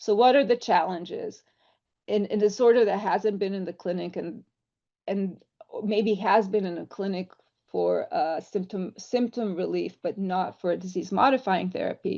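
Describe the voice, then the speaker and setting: Her dark, mellow tone carries vocal fry as this woman speaks at a medium pitch and moderate pace with fairly even intonation. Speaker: drug developer, company founder. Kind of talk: online presentation.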